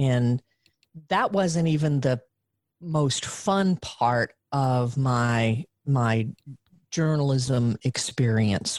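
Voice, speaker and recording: With a Southern US accent, a woman speaks at a very slow pace in a very deep, low pitch, with ordinary pitch variation and long, frequent pauses. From US South, Western Arkansas. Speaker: journaling coach. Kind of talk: casual chat.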